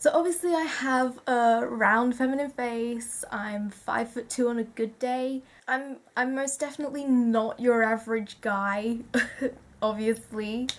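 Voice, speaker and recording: Against a very clean recording with a silent background, a woman speaks at a fairly slow pace with fairly even intonation. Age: 18. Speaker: vlogger. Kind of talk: personal vlog monologue. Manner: hesitant, many fillers and repetitions.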